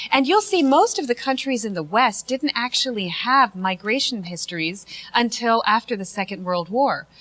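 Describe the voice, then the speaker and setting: With an American accent, a woman speaks at a moderate pace in a fairly high pitch, her voice swinging very widely in pitch, with hardly any pauses over noticeable background noise. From United States. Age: 30s. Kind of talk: talk show discussion.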